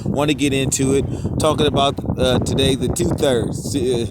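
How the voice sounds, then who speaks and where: A man's flat, monotone delivery amid audible room echo and noticeable background noise. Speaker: street preacher. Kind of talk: sermon. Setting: outdoors. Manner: loud.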